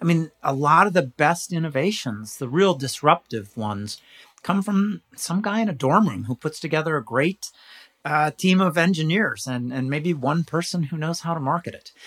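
A man speaks in a plain, everyday voice with an American accent, fairly high in pitch, with lively intonation at a moderate pace. The recording is very clean and dry, close with no echo, over a silent background. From California. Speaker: business consultant and professional speaker. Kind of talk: interview.

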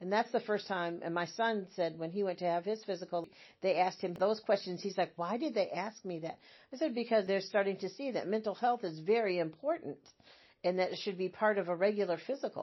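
A woman with an American accent has an unremarkable speaking voice at a medium pitch. She speaks fairly quickly with ordinary pitch variation. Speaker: retired hospice nurse. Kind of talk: interview.

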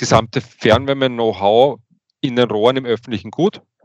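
Here a man has an ordinary speaking voice, with medium pitch, ordinary pitch variation and a moderate pace. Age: 40s. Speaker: utility engineer and manager. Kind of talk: interview. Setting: studio.

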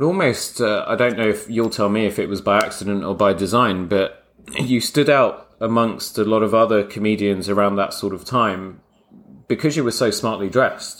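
A man speaks at a fairly quick pace with a London accent. His pitch is fairly low, with ordinary variation. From London (Croydon). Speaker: podcast host, bespoke tailor. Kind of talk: casual interview chat.

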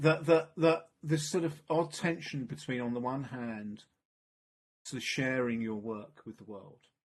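Using a plain, everyday voice at medium pitch, a man speaks at a fairly slow pace with lively intonation and big swings in loudness. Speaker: podcast host. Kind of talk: casual interview.

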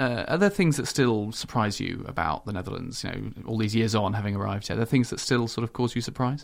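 A man with a British accent talks at a very fast pace with hardly any pauses. His medium pitch shows ordinary pitch variation. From UK. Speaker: diplomat and podcast host. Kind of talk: interview.

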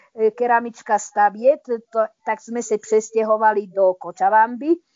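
A woman's unremarkable speaking voice, fairly high in pitch, at a fairly slow pace. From eastern Slovakia, Prešov. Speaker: retired chemistry professor, expatriate. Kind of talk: interview.

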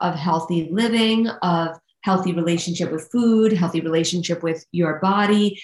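With a New York accent, a woman talks at a medium pitch and a moderate pace, with ordinary pitch variation. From New York, Staten Island. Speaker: nutrition coach and author. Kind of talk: interview conversation.

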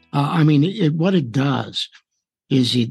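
His voice has a somewhat breathy quality. The man talks very slowly. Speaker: radio host. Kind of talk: interview.

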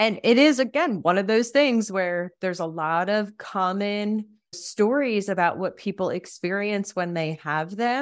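A normal speaking voice from a woman at medium pitch, with ordinary pitch variation, a fairly slow pace and hardly any pauses, on a very clean recording with a silent background. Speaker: death doula podcast host. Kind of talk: interview conversation.

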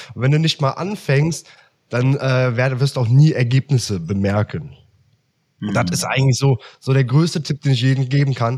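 Somewhat breathy and medium in pitch, a man's voice moves at a moderate pace with ordinary pitch variation. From Germany, Aachen. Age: 20s. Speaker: copywriter. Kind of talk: casual interview chat. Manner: hesitant, many fillers.

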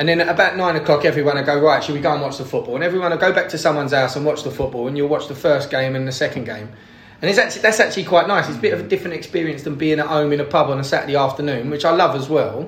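A man with a Cockney accent and a fairly high pitch, very fast pace with hardly any pauses, ordinary pitch variation, and noticeable background noise. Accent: London Cockney. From East London, England. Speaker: podcast guest, football fan. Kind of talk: casual chat.

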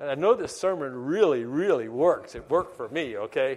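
The voice is a man's, fairly high in pitch. He goes at a fairly quick pace. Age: 70s. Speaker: preacher. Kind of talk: sermon. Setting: church.

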